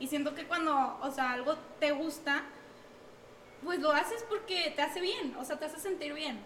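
Noticeable background noise surrounds a woman with a high pitch and ordinary pitch variation. She keeps a moderate pace with long, frequent pauses. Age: 20s. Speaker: gaming streamer and student. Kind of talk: casual podcast chat.

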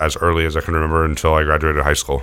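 Talking very fast with a General American accent, a man uses a very deep, low pitch and a bright, sharp tone. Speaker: chef and restaurant owner. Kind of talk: casual interview chat.

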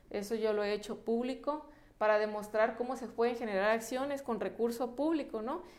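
With audible room echo, a woman speaks at a moderate pace and fairly high pitch, her intonation fairly even. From Mexico, La Paz, Baja California Sur. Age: 30s. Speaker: politician. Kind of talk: interview. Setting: studio.

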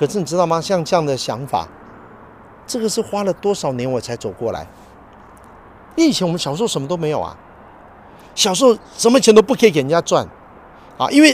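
Speaking with a Taiwanese accent, a man uses a high voice with very wide pitch swings. His pace is fairly quick, broken by long, frequent pauses. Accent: Taiwanese Mandarin. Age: 50s. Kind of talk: casual religious talk.

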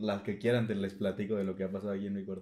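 A man with a Mexican accent talks at a very fast pace. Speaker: podcast co-host. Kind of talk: casual chat. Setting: home recording in his bedroom.

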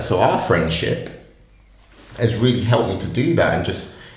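A man's voice with audible room echo. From Northamptonshire, England. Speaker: podcast co-host. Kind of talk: casual chat.

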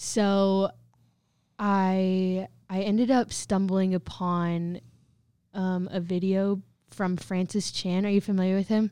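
Very slow and marked by long, frequent pauses, a woman speaks at a medium pitch with a Midwestern American accent, a dark, mellow tone and monotone, flat intonation. The recording is very clean, with a silent background. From Southwest Kansas. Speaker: college student. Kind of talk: testimony.

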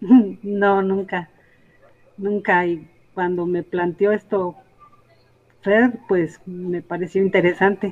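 Long, frequent pauses break up a woman's very slow speech. Her medium pitch stays monotone and flat. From Sierra Norte, Oaxaca, Mexico. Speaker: traditional healer. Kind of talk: interview.

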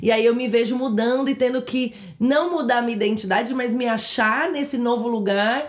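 Noticeable background noise and audible room echo fill the recording. A woman with a high pitch speaks at a moderate pace with fairly even intonation. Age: 30s. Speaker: podcast co-host. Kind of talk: casual chat.

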